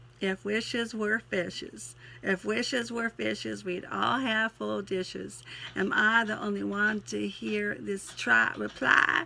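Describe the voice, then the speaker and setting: A woman puts on a raspy character voice in a Southern US accent. She speaks at a fairly slow pace over light background noise. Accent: Southern US twang. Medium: solo performance. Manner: folksy, sentimental, interrupted by sneezes.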